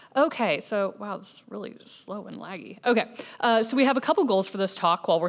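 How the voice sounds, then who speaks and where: A woman speaks with a Midwestern accent. Her pace is very fast. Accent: American Midwest. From US Midwest, Kansas City. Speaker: software engineer, conference speaker. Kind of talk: conference talk. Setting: stage with audience. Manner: casual, with fillers.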